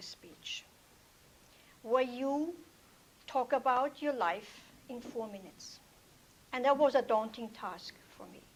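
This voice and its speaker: A woman with a non-native accent speaks at a very slow pace. Her pitch is high, with ordinary variation. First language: not English. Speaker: toastmasters club member, healthcare provider. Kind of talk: prepared speech. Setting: club meeting with audience.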